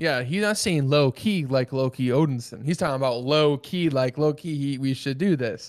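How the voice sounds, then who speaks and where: This man has a plain, everyday voice, pitched fairly high. He talks at a moderate pace with ordinary pitch variation over a very clean recording with a silent background. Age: 20s. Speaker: podcast co-host. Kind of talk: casual chat.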